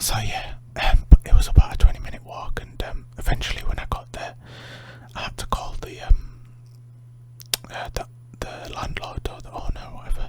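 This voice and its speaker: Whispering with big swings in loudness and long, frequent pauses, a man is heard over noticeable background noise. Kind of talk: ASMR sleep story. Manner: soft-spoken, slow.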